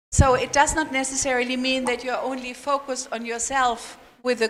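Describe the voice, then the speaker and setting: Speech comes at a moderate pace, delivered with a non-native accent. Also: woman. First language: not English. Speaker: international seminar speaker. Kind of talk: question and answer session.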